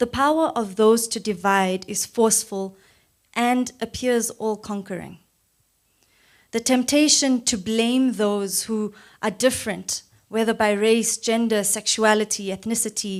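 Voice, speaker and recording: This woman has a fairly high pitch, fairly even intonation and an unremarkable speaking voice. She talks at a fairly slow pace on a very clean recording with a silent background. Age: 20s. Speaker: youth speaker at a political campaign launch. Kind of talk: public speech. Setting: church hall event with audience. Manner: formal.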